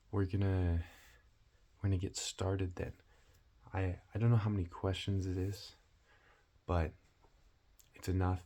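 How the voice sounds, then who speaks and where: Man's very deep, low voice, somewhat breathy and relaxed, monotone and flat, at a moderate pace with long, frequent pauses. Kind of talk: ASMR roleplay, casual soft-spoken test administrator. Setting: close-mic ASMR recording. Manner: soft-spoken, whispery, relaxed.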